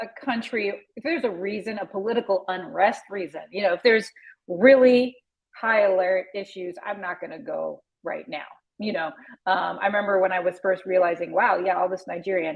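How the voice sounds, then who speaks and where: A woman with a plain, everyday voice and an American accent speaks at a fairly quick pace, her medium pitch moving with ordinary variation. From US Pacific Northwest, Seattle. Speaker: travel podcaster. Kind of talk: interview. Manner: casual, chatty with many fillers.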